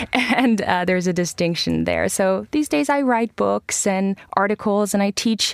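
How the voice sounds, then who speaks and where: A woman with an American accent uses a normal speaking voice at a medium pitch and moderate pace. The recording is very clean, with a silent background and a dry, close sound with no echo. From Iran. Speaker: journalist and professor. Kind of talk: radio panel discussion. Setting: studio.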